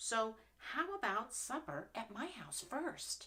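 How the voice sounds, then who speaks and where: High-pitched, female-sounding put-on character voice, delivered fairly slowly. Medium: read story. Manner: eager, friendly.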